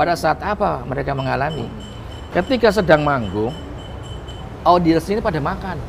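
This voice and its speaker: A man with a fairly high pitch talks at a moderate pace, his tone animated and his intonation lively. He takes long, frequent pauses against noticeable background noise. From Jakarta (Betawi). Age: 40s. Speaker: comedian. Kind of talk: interview.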